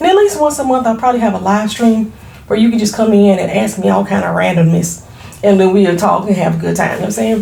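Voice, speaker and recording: Animated and lively in intonation, a woman at a medium pitch speaks at a fairly quick pace, with audible room echo and noticeable background noise. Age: 40s. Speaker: beauty entrepreneur and YouTuber. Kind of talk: casual vlog introduction. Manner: fast.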